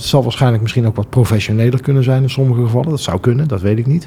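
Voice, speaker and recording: With pitch rising and falling typically, a man talks at a medium pitch. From Netherlands, Breda. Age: 40s. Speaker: school association chairman. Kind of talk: interview. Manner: hesitant, many fillers.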